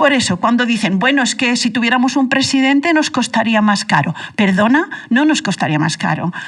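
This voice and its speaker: Delivered at a fairly quick pace, a woman's high-pitched voice carries lively intonation and very even loudness. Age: 60s. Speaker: radio panelist. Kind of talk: heated debate. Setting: radio studio. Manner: animated.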